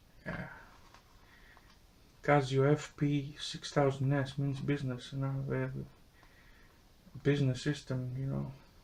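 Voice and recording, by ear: A man speaks at medium pitch and a fairly slow pace, leaving long, frequent pauses. His intonation is monotone and flat, his tone slightly mellow.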